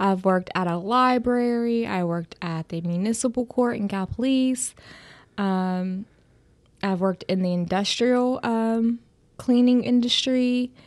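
Over a quiet background, a woman with an ordinary speaking voice and an American accent speaks at a fairly slow pace, her fairly high pitch showing ordinary variation. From southeastern Ohio, US. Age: 30s. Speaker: human resources generalist. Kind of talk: casual interview chat.

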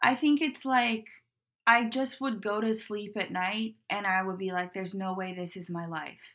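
At a moderate pace, a woman speaks in an American accent at a medium pitch with ordinary pitch variation, an ordinary speaking voice. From US Pacific Northwest, Portland. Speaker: footwear designer. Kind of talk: interview.

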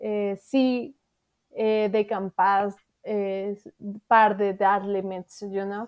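A woman speaks at a very slow pace with a Mexican accent. Her pitch is fairly high. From Mexico City. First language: Spanish. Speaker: thru-hiker. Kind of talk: casual interview. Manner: animated, halting with grammar errors.

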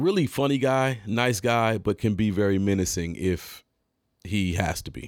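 A man with an American accent speaks in a normal speaking voice at a fairly low pitch and a moderate pace. His pitch varies in an ordinary way, and the recording is very clean with a silent background. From Detroit area, Michigan. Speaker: podcast host and rapper. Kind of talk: storytelling monologue. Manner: casual, many fillers.

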